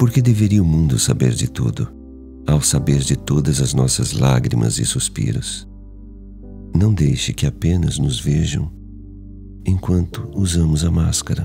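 With music in the background, a man with a very deep, low pitch speaks at a fairly slow pace, using lively intonation and long, frequent pauses. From Brazil. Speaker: voice actor. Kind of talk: poetry reading.

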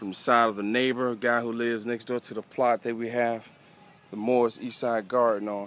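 Over a dry sound with no echo, a man talks with monotone, flat intonation. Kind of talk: casual show-and-tell narration. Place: garden. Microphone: phone near.

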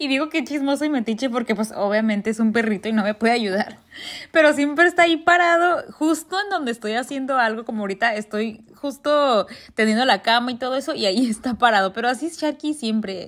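With a northern Mexican accent, a woman speaks at a fairly quick pace and high pitch, using lively intonation. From northern Mexico. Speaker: lifestyle vlogger. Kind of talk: vlog narration. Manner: blunt, forceful delivery; halting, stumbles over words.

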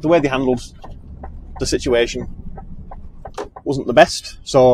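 The recording is dry with no echo. A man speaks over light background noise. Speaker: lorry driver vlogger. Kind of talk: casual vlog chat. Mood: relaxed, a bit frustrated. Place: car.

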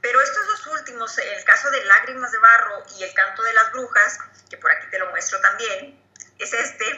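In a quiet background with audible room echo, a woman speaks at a fairly slow pace, her voice making very wide pitch swings. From Chihuahua, Mexico. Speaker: poet and journalist. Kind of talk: interview answer. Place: home room. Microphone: video call.

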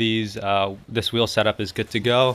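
A man speaks in a flat monotone. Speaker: car owner vlogger. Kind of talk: casual vlog chat. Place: garage. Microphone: phone near.

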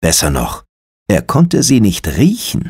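This man's voice moves through very wide pitch swings. He rises and falls sharply in pitch. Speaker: audiobook narrator. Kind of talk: ghost story reading aloud, hushed bedtime-style audiobook narration. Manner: slow, measured, hushed and suspenseful.

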